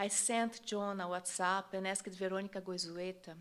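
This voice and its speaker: A woman with a strong Brazilian accent, speaking at a moderate pace. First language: Portuguese. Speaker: journalist. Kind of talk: plenary speech.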